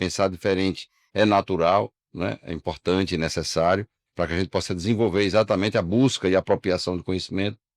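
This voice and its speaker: A man's very deep, low voice at a very fast pace with fairly even intonation, in a dry, close sound with no echo on a very clean recording with a silent background. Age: 60s. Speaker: insurance broker, union leader. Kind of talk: interview conversation.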